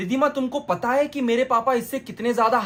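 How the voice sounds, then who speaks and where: A man speaks while noticeable background noise carries on around him. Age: 20s. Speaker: YouTube streamer. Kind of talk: reaction commentary. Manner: animated.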